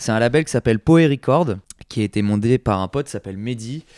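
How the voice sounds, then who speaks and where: A man talks at medium pitch with ordinary variation. The sound is dry and close, with no echo. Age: 20s. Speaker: record shop owner. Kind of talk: interview. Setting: record shop. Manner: halting, many fillers.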